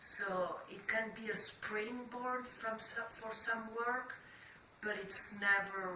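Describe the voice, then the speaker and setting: Against noticeable background noise, the voice moves at a very slow pace with ordinary pitch variation. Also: woman. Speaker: artist. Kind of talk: interview answer.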